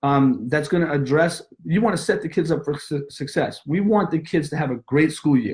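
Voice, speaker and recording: Lively intonation from a man with a fairly high pitch. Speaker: martial arts school owner. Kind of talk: webinar presentation. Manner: fast.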